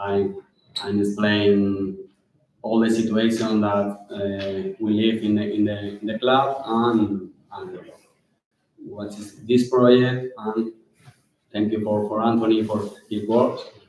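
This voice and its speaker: A man with a Spanish accent speaks at a very slow pace in a fairly low pitch with monotone, flat intonation. Long, frequent pauses break up his speech, and audible room echo surrounds it. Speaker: football club director. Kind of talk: conference talk. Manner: halting.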